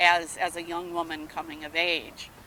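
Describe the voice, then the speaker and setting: A woman talks at a fairly slow pace in a fairly low pitch. Hers is an unremarkable speaking voice. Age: 60s. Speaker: rally attendee. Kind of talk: street interview.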